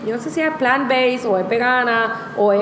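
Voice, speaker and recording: A woman speaks at a moderate pace with ordinary pitch variation, her voice carrying an audible room echo amid noticeable background noise. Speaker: vegan food blogger. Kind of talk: casual interview chat. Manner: code-switching Spanish and English.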